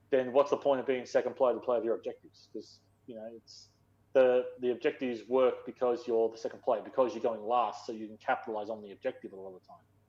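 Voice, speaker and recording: With an Australian accent, a man talks at a very fast pace in a dark, mellow tone, his medium pitch following fairly even intonation. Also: big swings in loudness. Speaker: gaming podcast co-host. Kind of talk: casual chat.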